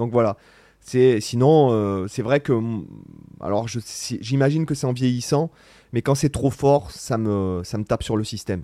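This man has a dark, mellow tone and a medium pitch, with ordinary pitch variation, a fairly slow pace and long, frequent pauses. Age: 40s. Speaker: guitarist and online content creator. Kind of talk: casual Q&A vlog. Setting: studio. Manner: hesitant, many fillers.

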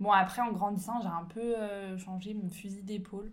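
There is audible room echo around a woman's somewhat breathy, medium-pitched voice with ordinary pitch variation. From France, Ain near Lyon. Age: 20s. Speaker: entrepreneur and business coach. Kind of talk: casual interview.

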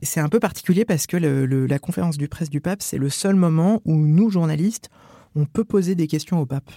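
Dry and close with no echo, a man speaks at a fairly quick pace. His pitch is fairly high and his tone dark and mellow. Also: ordinary pitch variation. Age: 30s. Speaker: journalist, Vatican correspondent. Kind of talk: first-person reportage narration.

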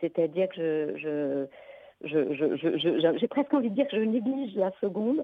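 At a very slow pace, a woman with a medium pitch swings very widely up and down. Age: 50s. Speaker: geneticist, researcher. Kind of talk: testimony in radio interview.

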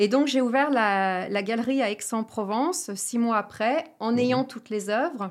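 A woman talks with a plain, everyday voice, fairly high in pitch, at a fairly slow pace with lively intonation. The recording is very clean, with a silent background. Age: 50s. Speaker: entrepreneur, franchise founder. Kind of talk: interview.

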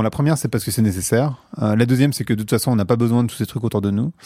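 A man speaks with a dark, mellow tone. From France, working-class housing estate. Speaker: podcast host and marketer, guest. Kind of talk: casual interview conversation. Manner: hesitant, many fillers and repetitions.

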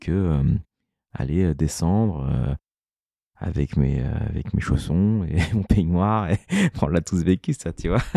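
Very deep, low pitch from a man, dark and mellow in tone, at a very slow pace with ordinary pitch variation. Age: 30s. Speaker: entrepreneur. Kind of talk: interview.

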